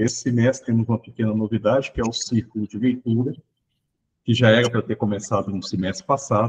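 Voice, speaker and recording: A man speaks at medium pitch with a Minas Gerais accent. His voice is somewhat breathy, and his intonation stays fairly even. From Brazil, Minas Gerais. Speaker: education researcher. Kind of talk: online training session introduction.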